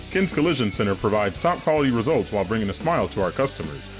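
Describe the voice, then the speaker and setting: Over music in the background, a man talks at a very fast pace. His pitch swings very widely. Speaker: voice actor. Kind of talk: TV commercial read.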